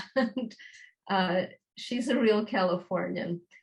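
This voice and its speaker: Here a woman talks at a fairly slow pace with a medium pitch. Her voice is somewhat breathy. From New York. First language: Yiddish. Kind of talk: interview answer.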